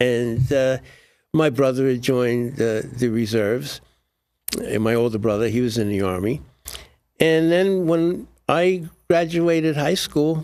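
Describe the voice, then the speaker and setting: With a New York accent, the speech moves at a fairly slow pace, lively in intonation and broken by long, frequent pauses. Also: man, medium pitch for a man. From New York, Brooklyn. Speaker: Air Force veteran and author. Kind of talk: interview. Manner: halting, with frequent repetitions.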